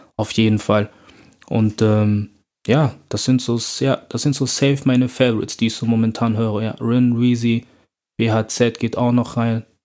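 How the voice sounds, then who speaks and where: This is a plain, everyday voice. It moves at a fairly slow pace. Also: man. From Germany, Bonn. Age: 20s. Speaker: rapper and student. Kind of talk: casual interview.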